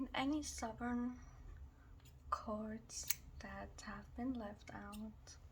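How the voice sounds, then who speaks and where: A soft-spoken woman talks at a very slow pace with long, frequent pauses over noticeable background noise. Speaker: reiki ASMR healer. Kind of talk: ASMR reiki healing session.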